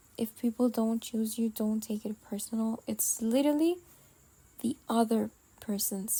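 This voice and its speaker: Words come out at a fairly slow pace. They carry a non-native accent. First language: not English. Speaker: podcast host. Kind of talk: casual monologue vent. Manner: halting, many pauses.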